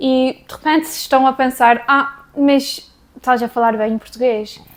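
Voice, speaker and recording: With fairly even intonation, a woman speaks at a high pitch and a fairly slow pace. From Canada and São Miguel, Azores. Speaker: vlogger. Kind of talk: casual chat to camera. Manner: hesitant, with fillers.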